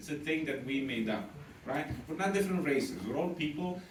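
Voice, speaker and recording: A man with an Eastern European accent talks at a moderate pace with lively intonation. Audible room echo and noticeable background noise surround him. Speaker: stand-up comedian. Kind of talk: stand-up. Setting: stage with audience.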